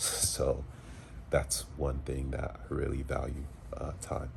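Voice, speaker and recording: Over noticeable background noise and audible room echo, a man speaks at a fairly slow pace. His pitch is very deep and low. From US South, Charlotte, North Carolina (from age seven). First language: French. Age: 30s. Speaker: field service engineer and Navy veteran vlogger. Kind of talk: casual personal vlog. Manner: casual, hesitant with fillers.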